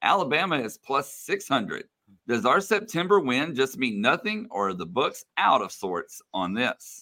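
A man with an American accent speaks at a moderate pace and fairly high pitch, with a bright, sharp tone and vocal fry. His pitch swings very widely in a very clean recording with a silent background. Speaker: sports broadcaster. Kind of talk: casual chat.

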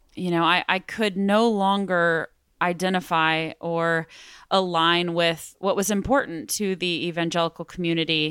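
On a very clean recording with a silent background and a dry, close sound with no echo, a woman speaks fairly slowly at a fairly low pitch with fairly even intonation. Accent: Texan. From West Texas, Midland. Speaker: former church member, touring performer. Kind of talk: interview testimony.

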